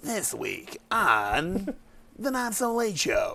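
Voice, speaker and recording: Someone uses a put-on character voice with a fairly high pitch. The pace is very slow. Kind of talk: radio announcer.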